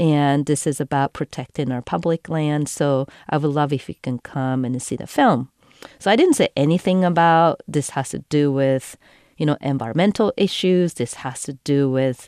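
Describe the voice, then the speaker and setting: A woman with a Japanese accent speaks at a very deep, low pitch with a dark, mellow tone, her voice dry and close with no echo over a quiet background. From Japan, Tokyo area. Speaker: environmental filmmaker and cyclist. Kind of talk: storytelling. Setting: studio.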